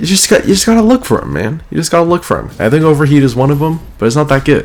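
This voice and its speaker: Soft-spoken with lively intonation, a man talks over noticeable background noise. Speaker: gaming YouTuber. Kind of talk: casual video commentary. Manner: quiet, soft-spoken; hesitant, many fillers.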